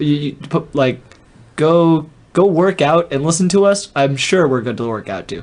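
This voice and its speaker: A man's ordinary speaking voice, fairly high in pitch, at a moderate pace with ordinary pitch variation. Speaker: podcast host. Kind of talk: casual chat.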